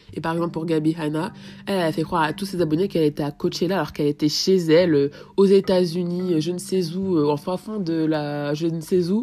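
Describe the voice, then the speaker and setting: A dark, mellow tone with fairly even intonation. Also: woman, fairly low pitch for a woman. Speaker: podcaster. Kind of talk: solo podcast monologue. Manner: fast, sometimes poorly articulated.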